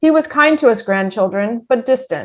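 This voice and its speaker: Here is a woman with a normal speaking voice and an American accent. Her pitch is fairly high and her intonation lively. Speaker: army veteran. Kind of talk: personal story reading.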